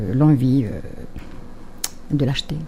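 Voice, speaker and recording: A woman's voice over noticeable background noise. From Algeria, Kabyle. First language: Kabyle (speaking French). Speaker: poet and writer. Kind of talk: radio interview. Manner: hesitant, many fillers and repetitions.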